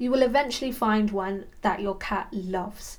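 With audible room echo, a woman with a fairly high pitch speaks at a fairly slow pace and ordinary pitch variation. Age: 30s. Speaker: podcast host, cat sitting business owner. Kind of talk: solo podcast monologue, partly scripted.

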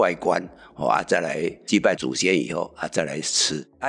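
Using lively intonation and a moderate pace, a man speaks with vocal fry. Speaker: community association chairman. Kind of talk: interview explanation.

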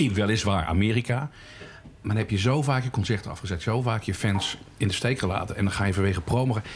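Over noticeable background noise, a man with a fairly low pitch talks at a fairly quick pace with ordinary pitch variation and hardly any pauses. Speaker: podcast host. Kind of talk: casual chat. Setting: pub.

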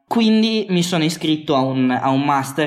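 Noticeable background noise and audible echo from the room accompany a man as he speaks. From Piedmont, Italy (Bra). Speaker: automotive industry worker. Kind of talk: casual interview. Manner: halting, repeats words.

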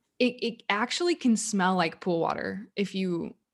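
On a very clean recording with a silent background, a woman with an ordinary speaking voice talks at a medium pitch and a fairly slow pace. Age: 30s. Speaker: podcast co-host. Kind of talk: casual chat.

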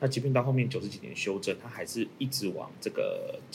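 A man's voice with noticeable background noise. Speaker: lawyer. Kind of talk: panel discussion on a legal case.

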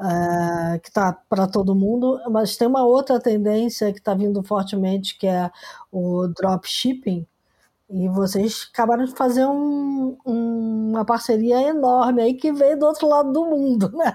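A woman's fairly high voice with a dark, mellow tone, lively intonation and a fairly slow pace. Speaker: podcast host. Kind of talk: casual interview chat.

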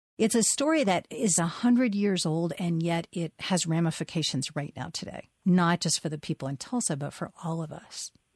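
In a dry, close sound with no echo and a quiet background, a woman with a fairly low, somewhat breathy voice talks at a moderate pace with lively intonation and hardly any pauses. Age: 50s. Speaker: writer. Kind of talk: interview.

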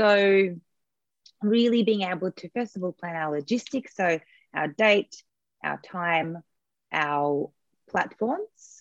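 A woman with an Australian accent speaks very slowly at medium pitch, with ordinary pitch variation and long, frequent pauses. The sound is dry and close, with no echo. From Australia (born in USSR). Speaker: event and webinar coach. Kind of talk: interview, casual explanatory chat.

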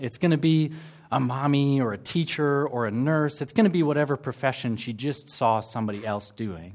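A man with an American accent has an unremarkable speaking voice at a medium pitch with lively intonation. The recording is very clean, with a silent background. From United States. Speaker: campus ministry worker giving a sermon. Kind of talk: sermon. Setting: church service with congregation.

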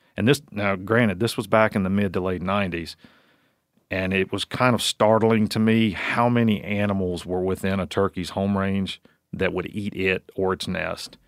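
This man has a normal speaking voice with an American accent, a fairly low pitch, fairly even intonation and a moderate pace, on a very clean recording with a silent background. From Virginia, US. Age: 40s. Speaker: wildlife researcher. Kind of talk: casual interview chat.

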